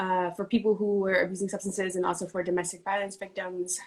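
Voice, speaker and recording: Speaking with an American accent, a woman holds a medium pitch with monotone, flat intonation. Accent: New York, comes out sometimes. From New York City (South Bronx, Harlem). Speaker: city racial equity official and activist. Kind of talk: interview conversation.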